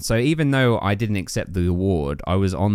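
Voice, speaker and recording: A man with an English accent speaks at a moderate pace with ordinary pitch variation. The recording is very clean, with a silent background. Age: 30s. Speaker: podcaster. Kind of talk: casual chat.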